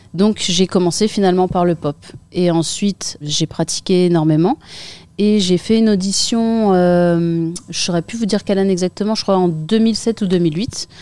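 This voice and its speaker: A woman speaks at a medium pitch with a dark, mellow tone. Her intonation is fairly even and her pace moderate. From northern France, Picardy (Saint-Quentin). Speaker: breakdancer. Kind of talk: interview.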